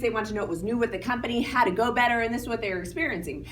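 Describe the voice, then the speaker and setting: Through noticeable background noise, a woman talks at a very fast pace with a fairly high pitch. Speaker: timeshare sales presenter. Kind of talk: sales pitch.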